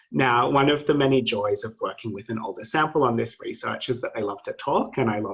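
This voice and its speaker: At a fairly quick pace and with hardly any pauses, a man with an Australian accent talks with big swings in loudness. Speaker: PhD student presenter. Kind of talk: academic presentation.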